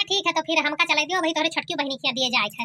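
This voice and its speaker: Squeaky and high-pitched, a woman does a put-on character voice at a very fast pace with ordinary pitch variation. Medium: cartoon. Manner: friendly, rushed.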